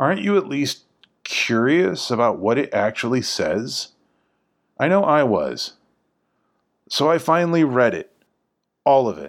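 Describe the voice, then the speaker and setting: Speaking at a fairly slow pace with long, frequent pauses, a man with a medium-pitched voice and lively intonation comes through on a very clean recording with a silent background. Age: 40s. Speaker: podcast host exploring the Bible. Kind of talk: scripted narration.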